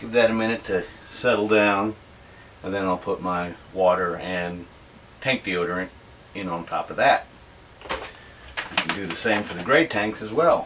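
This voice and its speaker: Over noticeable background noise, a man with an American accent and a fairly low pitch speaks with long, frequent pauses and big swings in loudness. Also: ordinary pitch variation, moderate pace. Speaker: RV camper. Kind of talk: casual talk to camera.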